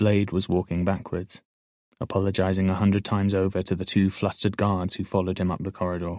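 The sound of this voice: Heard over a quiet background is an unforced reading voice.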